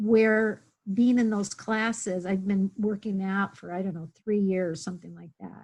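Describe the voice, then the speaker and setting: The speaker is a woman with a somewhat breathy voice. She goes at a fairly slow pace. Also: medium pitch for a woman, fairly even intonation. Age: 60s. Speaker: webinar participant. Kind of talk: personal sharing in online workshop. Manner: halting.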